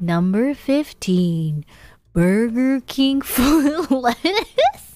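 A woman's put-on character voice, high-pitched with very wide pitch swings, at a very slow pace. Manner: creepy.

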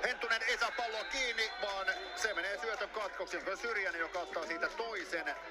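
Raised, projected voice from a man, high in pitch, at a moderate pace with music in the background. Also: lively intonation. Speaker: play-by-play commentator. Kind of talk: live sports commentary. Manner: rising, emphatic calls on touchdowns.

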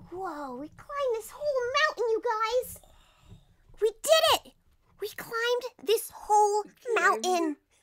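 A put-on character voice, female-sounding and extremely high-pitched, at a fairly slow pace with long, frequent pauses. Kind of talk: voice acting outtakes. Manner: excited, upbeat.

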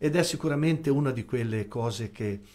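A man with a medium pitch and ordinary pitch variation talks at a moderate pace. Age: 60s. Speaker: volunteer ambulance association president; guest. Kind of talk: radio interview. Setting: radio studio. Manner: formal. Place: studio. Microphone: studio mic.

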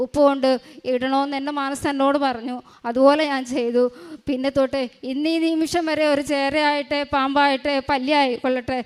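A woman talks in a high pitch with monotone, flat intonation. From Kerala, Kollam district. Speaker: mother giving a faith testimony. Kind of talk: religious testimony.

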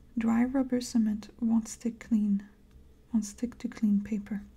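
A soft-spoken woman talks with a somewhat breathy voice. Her tone is dark, mellow and gentle. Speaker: ASMR crafter. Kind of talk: reading product instructions aloud. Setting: studio, close microphone. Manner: soft-spoken, gentle. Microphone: studio mic.

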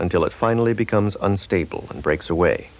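Lively intonation from an unremarkable speaking voice, moving at a moderate pace. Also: man. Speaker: promotional film narrator. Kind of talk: scripted corporate demo narration, like a vintage educational film. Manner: formal, measured, even-paced and authoritative; dry, matter-of-fact technical delivery.

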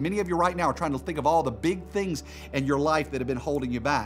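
Fairly quick speech over faint music in the background. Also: man. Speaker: pastor. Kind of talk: sermon. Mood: warm, humorous storytelling. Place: studio.

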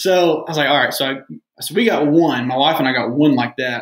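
With an American accent, a man speaks at a fairly quick pace in an unremarkable speaking voice. His pitch is medium, with ordinary variation. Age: 20s. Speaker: real estate investor. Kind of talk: casual chat.

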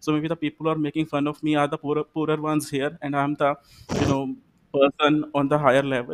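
Very fast and monotone, a man speaks with flat intonation at a fairly high pitch. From India, Punjab (Amritsar); Punjab, India. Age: 20s. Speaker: English teacher, exam candidate; English teacher, candidate. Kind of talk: mock speaking exam. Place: home room. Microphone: video call.

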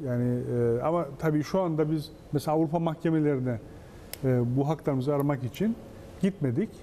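A man speaks at a fairly quick pace with a fairly high pitch and ordinary pitch variation. His loudness stays very even, broken by long, frequent pauses, over light background noise. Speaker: foundations administrator and professor. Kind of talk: TV interview. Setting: studio. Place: studio. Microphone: lapel.

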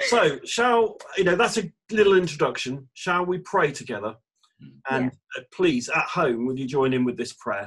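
This man's voice sits high for a man and swings very widely in pitch. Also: moderate pace, quiet background. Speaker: church minister. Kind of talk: casual chat and prayer. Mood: warm, cheerful. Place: home room. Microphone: video call.

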